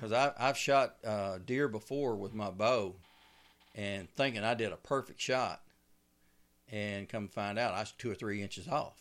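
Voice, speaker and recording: A man speaks with a Southern US accent at a moderate pace. The recording is very clean, with a silent background. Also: medium pitch for a man, ordinary pitch variation. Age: 60s. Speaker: bowhunter and outdoor TV host. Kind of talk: casual interview. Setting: studio.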